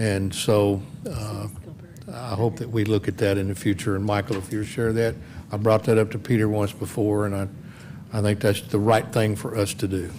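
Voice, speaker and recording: Speaking with a Texas accent, a man with a fairly low pitch keeps a moderate pace and monotone, flat intonation, with audible room echo and noticeable background noise. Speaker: city council member. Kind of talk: council meeting discussion.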